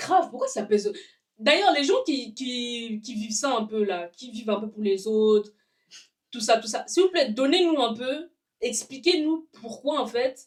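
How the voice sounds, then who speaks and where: A woman's high, animated voice with a non-native accent, lively intonation, big swings in loudness and a fairly slow pace. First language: not French (speaking French). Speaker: podcast co-host. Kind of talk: casual chat.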